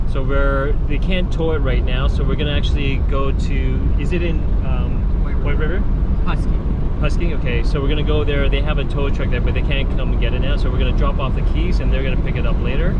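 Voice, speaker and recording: A man talks at a very fast pace. The sound is dry with no echo, but background noise is loud. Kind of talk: casual vlog chat. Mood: slightly flustered, upbeat. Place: car. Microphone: phone near.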